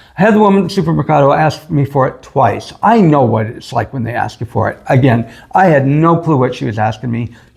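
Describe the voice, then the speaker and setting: A very fast, somewhat breathy man with an American accent, fairly high in pitch and lively in intonation. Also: hardly any pauses. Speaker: expat vlogger. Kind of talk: casual chat.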